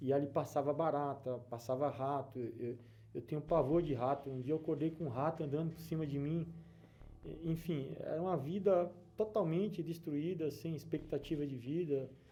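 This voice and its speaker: Somewhat breathy, with a dark, mellow tone, a man with a northeastern Brazilian accent speaks fairly high at a moderate pace. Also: ordinary pitch variation. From Brazil, Alagoas (Northeast). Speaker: businessman giving church testimony. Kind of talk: testimony. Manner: hesitant, with fillers and repetitions.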